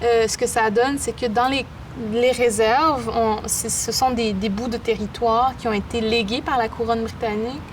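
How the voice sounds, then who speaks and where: A fairly high-pitched woman's voice at a moderate pace, monotone and flat in intonation. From Quebec, Innu community of Pessamit then Baie-Comeau. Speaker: poet and artist. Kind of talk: interview.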